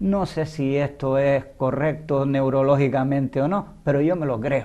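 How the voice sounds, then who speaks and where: His voice fairly high in pitch, a man speaks with a dark, mellow tone, fairly even intonation, and a fairly slow pace. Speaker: writer. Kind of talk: interview. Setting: TV studio. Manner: stutter at times.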